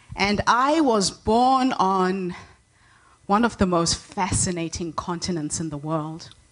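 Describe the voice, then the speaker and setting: Against a quiet background, a woman speaks at a medium pitch with lively intonation. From Zimbabwe. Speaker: inspirational speaker. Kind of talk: keynote speech. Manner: energetic.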